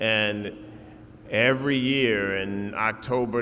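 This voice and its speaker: With a Virginia accent, a man talks at a fairly low pitch with fairly even intonation. Audible room echo and noticeable background noise surround his voice. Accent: Southern US (Virginia). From Southside Virginia, Lunenburg County. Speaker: commencement speaker. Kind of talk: commencement speech. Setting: stage with audience.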